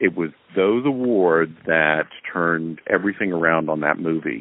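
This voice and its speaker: Very deep and low in pitch, a man with an American accent talks at a moderate pace. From US South. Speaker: film director. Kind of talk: interview. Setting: remote call.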